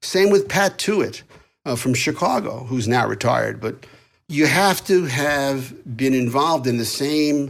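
A man talks with a New York accent. His pace is fairly slow. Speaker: lawyer and author. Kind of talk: interview.

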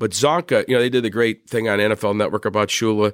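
Speaking at a very fast pace in an American accent, a man with a medium-pitched voice comes through on a very clean, silent-background recording with a dry, close sound and no echo. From Pennsylvania, Wilkes-Barre. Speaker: sports broadcaster, former football PR man. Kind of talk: interview, casual storytelling. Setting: live event in a conference hall. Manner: animated, many fillers and repetitions.

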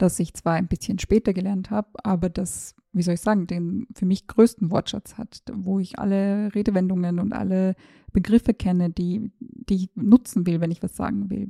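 Somewhat breathy and dark, mellow in tone, a woman speaks at medium pitch and a moderate pace with fairly even intonation, the sound dry and close with no echo. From Austria, Tyrol. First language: Serbo-Croatian (speaking German). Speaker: journalist and podcast host. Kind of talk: personal monologue.

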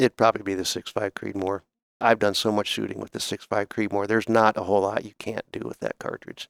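Very fast and flat in a monotone, a man speaks at a fairly low pitch with vocal fry in a dry, close sound with no echo. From US Midwest (northern Ohio). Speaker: retired ballistics scientist. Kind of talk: casual interview conversation. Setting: studio.

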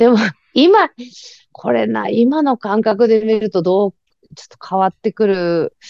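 Her fairly high voice moves at a fairly slow pace with long, frequent pauses, showing ordinary pitch variation and big swings in loudness. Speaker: writer and activist. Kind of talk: casual interview.

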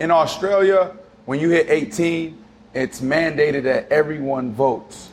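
A man speaks at a fairly slow pace in a fairly high pitch. His pitch variation is ordinary. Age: 30s. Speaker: podcast host, former NFL player. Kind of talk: casual chat.

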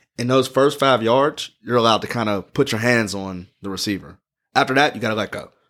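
A man with an American accent has an unremarkable speaking voice at medium pitch with ordinary pitch variation. He talks at a fairly quick pace on a very clean recording with a silent background. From Pittsburgh, US. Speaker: football fan explaining the sport. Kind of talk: casual chat.

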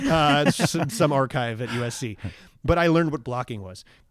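On a very clean recording with a silent background, a man with an American accent speaks at a moderate pace in a plain, everyday voice. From US Northeast, Long Island, New York. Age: 40s. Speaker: actor. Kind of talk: casual chat.

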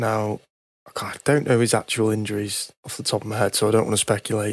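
Pitched fairly low, a man talks at a very fast pace. The sound is dry and close with no echo. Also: very clean recording, silent background. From Britain. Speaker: F1 podcast panelist. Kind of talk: casual chat.

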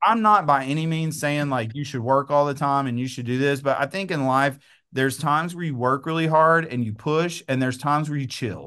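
With an East Texas accent and a bright, sharp tone, a man with a fairly high voice speaks at a fairly quick pace with hardly any pauses and ordinary pitch variation against a quiet background. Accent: East Texas Southern US. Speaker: real estate agent and coach. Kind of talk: interview conversation.

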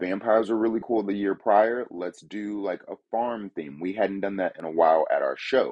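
A plain, everyday voice moves at a moderate pace with hardly any pauses and ordinary pitch variation. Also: man, fairly low pitch for a man. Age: 30s. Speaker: haunted house creator. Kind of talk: interview.

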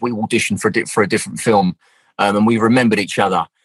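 A medium-pitched man with a Southeast London accent, in a dry, close sound with no echo. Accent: London (south-east). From South East London. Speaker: actor. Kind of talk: casual interview chat.

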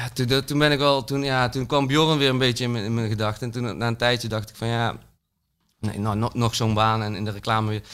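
A man with an ordinary speaking voice talks at a fairly quick pace and medium pitch, with fairly even intonation, on a very clean recording with a silent background. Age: 30s. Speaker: artist, PSV supporter. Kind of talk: casual chat.

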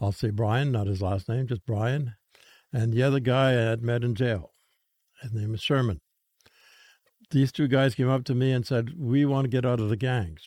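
Medium pitch from a man, dark and mellow in tone, at a moderate pace with ordinary pitch variation and long, frequent pauses. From Saskatchewan, Canada. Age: 80s. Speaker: former priest and chaplain who helps gang members leave gangs. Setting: studio.

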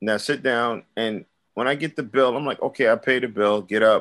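A man speaks with a Brooklyn accent against a quiet background. His pace is moderate. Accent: New York (Brooklyn). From Brooklyn, New York. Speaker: rapper and recording artist. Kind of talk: casual interview chat.

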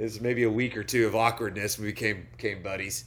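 A man with an American accent speaks at a fairly low pitch with vocal fry. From Oklahoma (small town). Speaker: country singer and tequila brand founder. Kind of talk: casual interview chat.

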